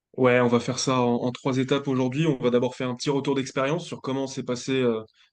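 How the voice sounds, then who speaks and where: A man talks at a very fast pace in a monotone, flat delivery at medium pitch, with a quiet background. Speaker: student tutor, former athlete. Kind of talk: webinar presentation.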